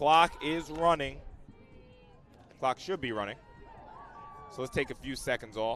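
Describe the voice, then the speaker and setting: Against noticeable background noise, a man with a fairly high pitch speaks at a fairly slow pace with ordinary pitch variation and long, frequent pauses. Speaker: sports play-by-play commentator. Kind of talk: live commentary. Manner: animated.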